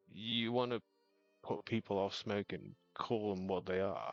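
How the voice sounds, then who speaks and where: Over music in the background, a man speaks with a fairly low pitch and ordinary pitch variation. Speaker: miniature painting livestreamer. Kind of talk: casual livestream chat while painting.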